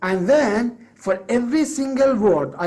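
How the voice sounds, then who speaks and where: In a Persian accent, a man speaks with a dark, mellow tone and lively intonation. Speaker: English teacher and course creator. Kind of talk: business pitch monologue. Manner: halting, with fillers and self-corrections.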